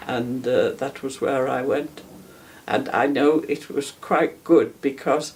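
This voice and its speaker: A woman at a very slow pace. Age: 80s+. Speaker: war veteran. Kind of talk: testimony. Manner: halting.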